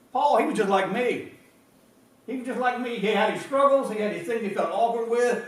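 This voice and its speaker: Amid audible room echo and noticeable background noise, a man with an American accent speaks at a fairly quick pace in an extremely high voice with ordinary pitch variation. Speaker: pastor. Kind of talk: sermon. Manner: halting, repetitive.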